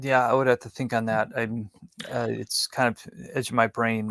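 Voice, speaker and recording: In an American accent, a man speaks at a moderate pace and medium pitch with monotone, flat intonation, the sound dry and close with no echo. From Wisconsin, US Upper Midwest. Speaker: tabernacle model builder and Bible teacher. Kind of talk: interview. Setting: live stream. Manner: halting.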